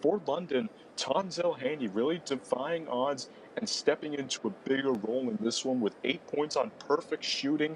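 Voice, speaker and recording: Fairly high-pitched man, an unremarkable speaking voice, lively intonation, moderate pace. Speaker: basketball commentator. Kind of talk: basketball play-by-play.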